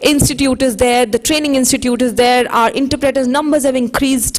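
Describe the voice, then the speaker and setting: High-pitched speech from a woman at a moderate pace, noticeable background noise behind it. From India. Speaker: social entrepreneur, sign language advocate. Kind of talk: conference panel talk.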